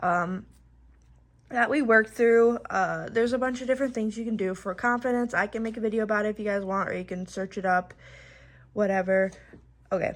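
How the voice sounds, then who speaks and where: A woman speaks at a fairly quick pace with fairly even intonation, leaving long, frequent pauses. The recording is very clean, with a silent background. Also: fairly high pitch for a woman. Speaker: dog trainer vlogger. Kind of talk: tutorial; reading aloud. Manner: halting; high-pitched training voice with the dog.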